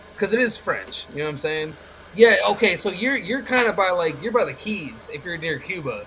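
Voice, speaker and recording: Raised and projected, the voice is animated, with lively intonation, big swings in loudness and noticeable background noise. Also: man, high pitch for a man, moderate pace. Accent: slight Southern US. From Chicago. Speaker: wrestling podcast host. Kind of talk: casual chat.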